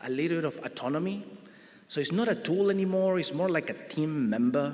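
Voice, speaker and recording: Audible room echo surrounds a man with an Argentinian accent and a high pitch. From Argentina. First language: Spanish. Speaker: grid research director, panelist. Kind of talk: conference panel presentation.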